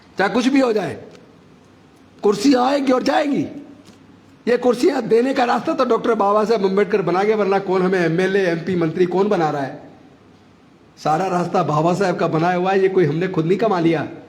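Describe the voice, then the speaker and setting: A man talks at a moderate pace with a high pitch and lively intonation. Room echo is audible. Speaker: politician, former minister. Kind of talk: political speech at rally. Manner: forceful, impassioned.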